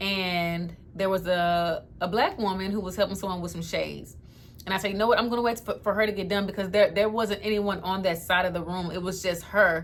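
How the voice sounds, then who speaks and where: Her pace is fairly quick and her pitch medium. The woman speaks in an animated tone. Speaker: lifestyle vlogger. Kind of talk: storytime testimony. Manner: fast when excited.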